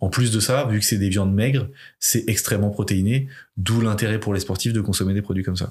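A man talks at a fairly quick pace in a fairly low, somewhat breathy voice. His loudness stays very even and his intonation fairly even. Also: very clean recording, silent background. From France, Limoges. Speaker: rugby player and entrepreneur, podcast founder. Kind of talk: casual interview as guest.

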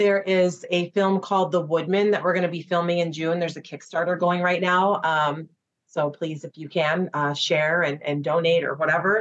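A woman speaks with a Midwestern US accent at a moderate pace. Her pitch is fairly low and her intonation fairly even. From Chicago, US Midwest. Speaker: actress. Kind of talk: casual interview chat.

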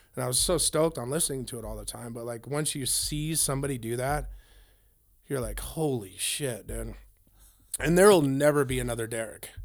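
In a room with audible echo, a man with an American accent talks at a fairly quick pace, his loudness swinging a lot. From Northern California (Grass Valley / Lake Tahoe area). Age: 40s. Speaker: punk drummer. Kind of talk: casual interview. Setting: band practice space.

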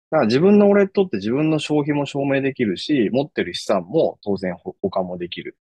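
This man's pitch is fairly high and swings very widely. He talks at a fairly quick pace. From Japan, Aichi Prefecture. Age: 40s. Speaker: startup founder. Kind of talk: casual interview.

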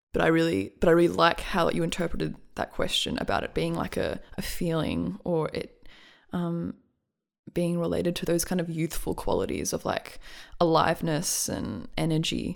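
Here is a woman with an Australian accent at a moderate pace. The recording is very clean, with a silent background. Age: 20s. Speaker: musician and writer. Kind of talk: casual chat.

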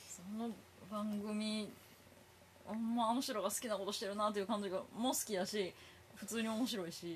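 With a Kansai accent, a woman speaks at a moderate pace in a fairly high voice, leaving long, frequent pauses. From Japan, Kobe. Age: 30s. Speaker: comedian. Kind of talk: casual chat.

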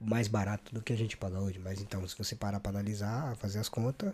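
This man's voice is fairly low, with a dark, mellow tone. Somewhat breathy, he speaks at a fairly quick pace. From Brazil, São Paulo. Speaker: podcast host. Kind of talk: casual interview. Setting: studio. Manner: animated.

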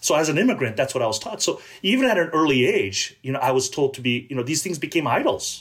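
Speaking very fast, a man has a fairly high, somewhat breathy voice. His intonation is lively. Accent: American. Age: 50s. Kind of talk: interview conversation.

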